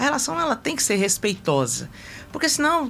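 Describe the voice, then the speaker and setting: Fairly high-pitched speech from a woman, fairly quick in pace and full of very wide pitch swings. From Brasília, Brazil. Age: 50s. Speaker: political candidate, retired health technician. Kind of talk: interview. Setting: radio studio.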